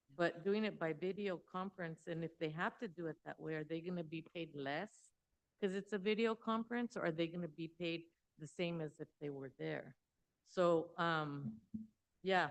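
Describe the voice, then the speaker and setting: A woman's fairly low voice, a plain, everyday voice, with ordinary pitch variation at a moderate pace. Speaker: school board member. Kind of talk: public meeting questioning. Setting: school board meeting.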